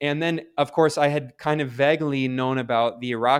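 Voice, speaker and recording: Monotone and flat in intonation, the speaker talks at a moderate pace with an American accent. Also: man. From US Midwest and South (Ohio, Kentucky, Maryland). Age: 30s. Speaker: journalist. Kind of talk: interview. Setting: video call. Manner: casual, many fillers.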